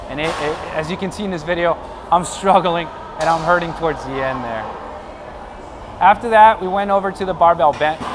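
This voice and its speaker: A man speaks at a high pitch. Audible room echo and noticeable background noise surround him. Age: 30s. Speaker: fitness vlogger and bodybuilding competitor. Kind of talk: workout tutorial.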